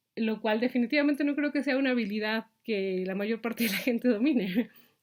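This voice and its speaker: Speaking at a fairly quick pace, a woman with a Mexican accent uses a fairly high pitch and ordinary pitch variation. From Mexico. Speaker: vlogger. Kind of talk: reflective monologue. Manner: halting, many fillers.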